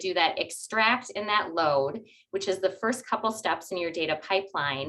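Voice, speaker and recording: A woman with a plain, everyday voice talks at a moderate pace and medium pitch, her intonation lively. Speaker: data architecture speaker. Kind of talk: webinar presentation.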